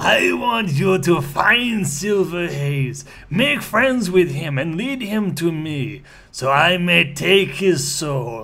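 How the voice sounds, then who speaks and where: A man speaks high in pitch in a put-on character voice. His pace is very slow. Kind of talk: dramatic reading of a character's lines. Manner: menacing.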